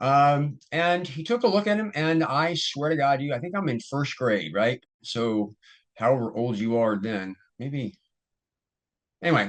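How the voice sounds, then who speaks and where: Pausing long and often, a man talks at a fairly slow pace in a fairly high voice with very wide pitch swings. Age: 60s. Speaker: ADHD coach and video host. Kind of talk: casual solo talk to camera. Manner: relaxed, many fillers and restarts.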